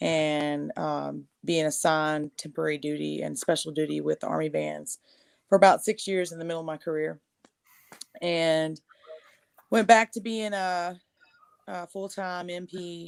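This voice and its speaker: A woman speaks with a Texan accent. Her loudness swings widely, and she leaves long, frequent pauses. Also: moderate pace, dry, close sound with no echo. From East Texas. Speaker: army veteran and singer-songwriter. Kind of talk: casual interview chat.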